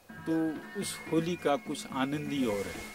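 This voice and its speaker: Music plays in the background as a man talks at a fairly high pitch. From Almora, Uttarakhand, India. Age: old. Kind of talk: interview answer.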